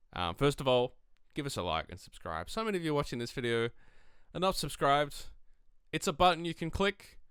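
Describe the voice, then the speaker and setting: Using very wide pitch swings at a fairly high pitch, a man with an Australian accent talks at a fairly quick pace. He leaves long, frequent pauses. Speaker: tabletop wargaming youtuber. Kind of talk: tutorial. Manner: casual, lots of fillers.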